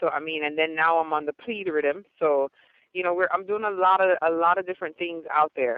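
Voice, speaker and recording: A woman with an American accent speaks at a fairly quick pace, her pitch fairly low with ordinary variation. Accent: American-sounding, speaks proper English. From Jamaica. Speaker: gospel dancehall artist. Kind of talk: radio interview. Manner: talks properly, formal speech that contrasts with her raw patois deejaying.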